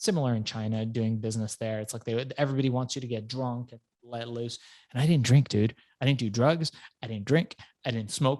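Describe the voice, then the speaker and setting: On a very clean recording with a silent background, a man has an unremarkable speaking voice at medium pitch. His intonation is fairly even, his pace fairly quick, and his loudness swings widely. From Iran, raised in US from childhood. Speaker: entrepreneur and author. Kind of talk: interview storytelling. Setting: podcast.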